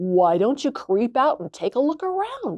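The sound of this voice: The put-on character voice has a high pitch and very wide pitch swings. Its pace is moderate.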